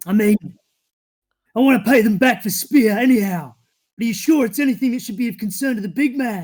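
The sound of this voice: Putting on a gruff character voice, a man talks at a fairly quick pace with high pitch, ordinary pitch variation, and long, frequent pauses.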